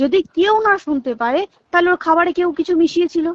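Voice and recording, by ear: With lively intonation at a fairly quick pace, a woman speaks at an extremely high pitch in a dry, close sound with no echo.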